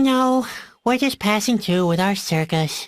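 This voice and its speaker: In a put-on character voice, a female-sounding speaker talks at a moderate pace and medium pitch on a very clean recording with a silent background. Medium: video game. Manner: gloomy, sarcastic.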